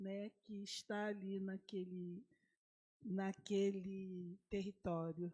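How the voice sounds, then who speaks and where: Her voice is dark and mellow in tone, medium in pitch for a woman, with monotone, flat intonation. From Rio de Janeiro, Brazil. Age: 70s. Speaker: community activist speaker. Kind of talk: panel talk. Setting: university panel event. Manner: halting.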